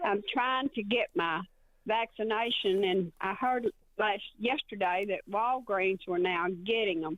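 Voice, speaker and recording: Someone with a Southern US accent talks at a fairly slow pace. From Arkansas. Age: 70s. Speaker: caller. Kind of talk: voicemail question. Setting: phone voicemail.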